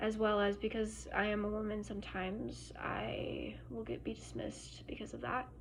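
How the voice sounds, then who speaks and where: Moderately paced speech from a woman, noticeable background noise and audible room echo around it. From Germany. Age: 20s. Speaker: student. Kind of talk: class presentation. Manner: hesitant, many fillers.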